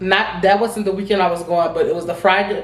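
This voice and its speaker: Amid noticeable background noise and audible room echo, a woman of medium pitch speaks with fairly even intonation. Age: 20s. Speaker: vlogger. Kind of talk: casual storytime vlog. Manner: fast.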